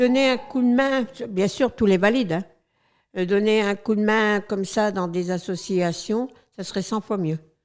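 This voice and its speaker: With music in the background, a woman speaks fairly slowly at a medium pitch with ordinary pitch variation. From northern France, Abbeville (Picardy). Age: 70s. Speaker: retired charity volunteer. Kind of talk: interview testimony. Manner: hesitant, many fillers.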